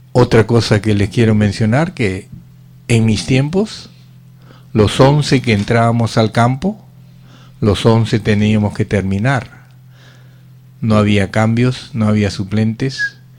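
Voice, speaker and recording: Long, frequent pauses break up a man's very slow speech. His pitch is medium and his loudness very even. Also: ordinary pitch variation. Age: 70s. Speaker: radio host and former footballer. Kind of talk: casual radio talk, reminiscing.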